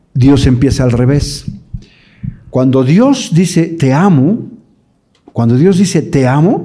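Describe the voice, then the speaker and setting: With a fairly high pitch and a dark, mellow tone, a man speaks very slowly and somewhat breathily. His intonation is lively, and room echo is audible. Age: 60s. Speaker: evangelical theologian and speaker. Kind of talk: conference talk to parents. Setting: live audience at a conference.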